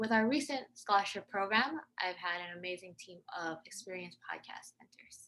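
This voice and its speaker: In an American accent, a woman has an unremarkable speaking voice. She talks at a moderate pace with lively intonation. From US. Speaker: podcaster and poet. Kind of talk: interview.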